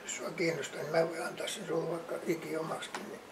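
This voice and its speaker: This man has a high-pitched voice. Noticeable background noise sits behind him. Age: 80s+. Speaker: war veteran. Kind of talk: interview answer.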